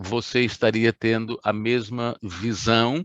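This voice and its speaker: Against a quiet background, a man with a fairly low pitch speaks in a dry, close sound with no echo. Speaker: pastor. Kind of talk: sermon. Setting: online livestream. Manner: slow.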